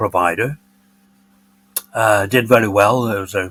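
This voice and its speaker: A man speaks with an English accent. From northern England, Bolton, Lancashire. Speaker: retiree and former business executive. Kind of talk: podcast interview, personal storytelling.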